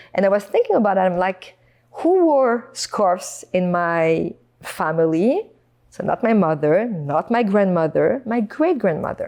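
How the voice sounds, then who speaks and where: A woman speaks in a French accent at a fairly slow pace. Her medium-pitched voice has a dark, mellow tone and lively intonation. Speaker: podcast guest. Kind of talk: casual interview chat.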